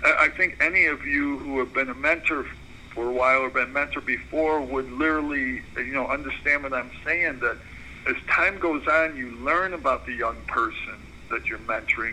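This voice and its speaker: Moderate-paced speech from a man with an American accent amid noticeable background noise. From Chicago, northwest side. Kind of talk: mentoring talk on conference call. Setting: phone/conference call.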